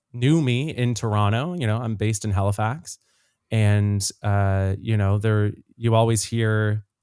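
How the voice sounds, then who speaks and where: Captured in a very clean recording with a silent background, a man speaks with a Canadian Maritime accent, a fairly low pitch and fairly even intonation. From Nova Scotia, Canada (Dartmouth). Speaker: singer and actor. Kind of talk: podcast interview.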